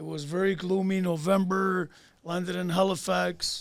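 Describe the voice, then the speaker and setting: The man's voice is high-pitched for a man and his intonation is monotone and flat. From Canada (Toronto), born in Greece. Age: 60s. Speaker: artist. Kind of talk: casual chat.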